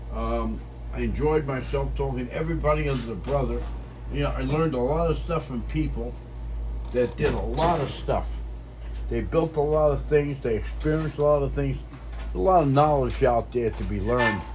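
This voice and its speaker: With audible room echo and noticeable background noise around him, a man speaks fairly quickly. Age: 70s. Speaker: ham radio operator. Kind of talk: casual chat. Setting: ham radio on-air contact. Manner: halting.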